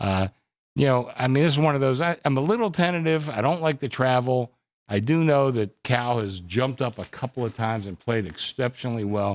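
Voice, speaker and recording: A man's plain, everyday voice at medium pitch, lively intonation and a fairly quick pace, on a very clean recording with a silent background. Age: 60s. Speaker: bookmaker. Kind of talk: sports betting panel discussion. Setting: studio.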